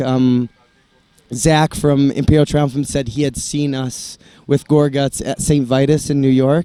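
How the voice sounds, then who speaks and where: With an American accent, a man is heard in a dry, close sound with no echo, music in the background. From Italy (American family). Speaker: metal band musician. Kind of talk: interview. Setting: on tour, before a concert. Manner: halting.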